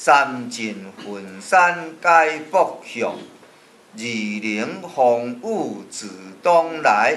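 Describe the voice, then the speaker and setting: A man's voice at a very slow pace, with very wide pitch swings and light background noise. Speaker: poetry teacher. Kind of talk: classical poetry reading. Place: classroom. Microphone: camera far.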